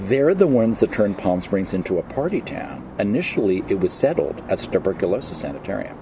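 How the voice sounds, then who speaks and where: A man talks at a very fast pace at a fairly low pitch. Noticeable background noise runs underneath. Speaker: guest. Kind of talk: interview answer. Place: waterside.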